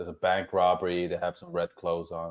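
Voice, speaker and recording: This is a man speaking. He has a Norwegian accent. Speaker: actor and social media personality. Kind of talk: casual chat. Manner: halting.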